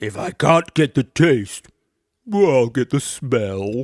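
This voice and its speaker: A man speaks at a medium pitch in a put-on character voice, at a very slow pace. The recording is very clean, with a silent background. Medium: read story. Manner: eager, stammering.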